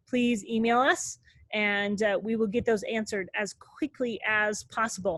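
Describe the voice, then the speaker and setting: In an unremarkable speaking voice, a woman talks at a moderate pace with a fairly high pitch. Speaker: robotics team mentor. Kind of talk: online meeting presentation. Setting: video call.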